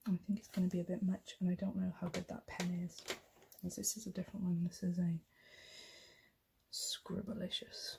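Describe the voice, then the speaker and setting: A soft-spoken woman talks at a moderate pace with a somewhat breathy, dark, mellow tone. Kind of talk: ASMR colouring ramble.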